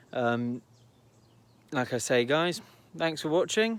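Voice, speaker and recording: This man talks at a fairly slow pace with a Devon accent, his pitch fairly high. The recording is very clean, with a silent background. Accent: rural Devon. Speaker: car enthusiast vlogger. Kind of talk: casual car video commentary. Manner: casual, hesitant with fillers.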